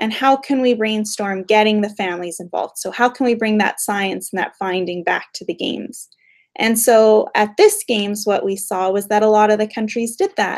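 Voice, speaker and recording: With a Canadian accent, a woman has an unremarkable speaking voice at a fairly high pitch. She keeps a moderate pace and fairly even intonation. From Western Canada, Calgary. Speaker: behavioural scientist. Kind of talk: Q&A with school class.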